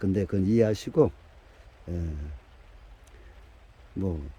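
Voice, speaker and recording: This man's voice has a dark, mellow tone and moves at a fairly slow pace. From Korea, dialect region. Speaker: bonsai grower. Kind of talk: tutorial. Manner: halting, many fillers.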